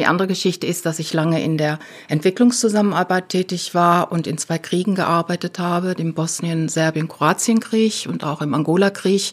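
Speech comes at a moderate pace with hardly any pauses. The pitch variation is ordinary. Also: woman. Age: 60s. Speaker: activist and retired development aid worker. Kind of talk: interview. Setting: studio. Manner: halting.

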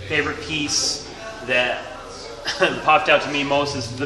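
Clear music plays in the background behind a man's voice. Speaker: interviewee. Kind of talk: interview answer. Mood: friendly, slightly hesitant. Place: shop. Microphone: phone near.

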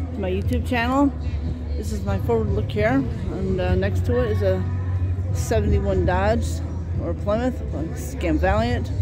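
Fairly slow male speech with long, frequent pauses, ordinary pitch variation, music in the background and a dry sound with no echo. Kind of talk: casual vlog commentary. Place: street. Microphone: phone near.

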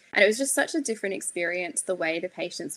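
In an Australian accent, a woman speaks with a bright, sharp tone. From far north Queensland, Australia. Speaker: psychiatry registrar, peer support founder. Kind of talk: interview conversation.

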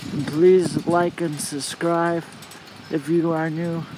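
At a slow pace, a man speaks in a slightly mellow tone with little pitch movement over faint background noise. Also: fairly high pitch for a man.

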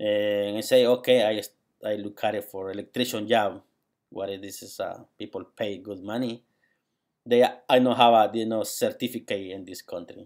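A man speaks at a moderate pace in a Spanish accent, his pitch fairly low. His intonation is monotone and flat over a quiet background. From Guatemala. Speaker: graduate student. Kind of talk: personal video monologue; casual vlog chat. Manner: halting. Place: home room. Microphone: webcam.

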